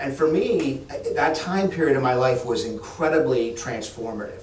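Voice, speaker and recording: A man of medium pitch amid audible room echo and noticeable background noise. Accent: American. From Massachusetts, Boston area. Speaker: state economic development official. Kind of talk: fireside chat with audience. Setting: stage with live audience. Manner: halting, many restarts.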